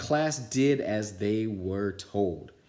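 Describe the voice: What we hear is plain reading aloud.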